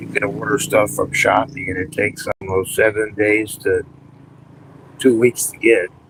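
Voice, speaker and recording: Noticeable background noise runs under this recording. A man speaks at a fairly slow pace in a fairly low pitch. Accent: American. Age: 60s. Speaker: retiree YouTuber. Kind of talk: live stream chat. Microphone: cheap wireless mic.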